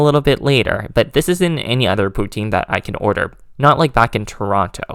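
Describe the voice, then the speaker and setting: On a very clean recording with a silent background, a man with a fairly high pitch talks at a fairly quick pace, his pitch swinging very widely. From Canada. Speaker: travel vlogger. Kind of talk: vlog narration and on-location talk. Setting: outdoors. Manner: loud, shouting over wind.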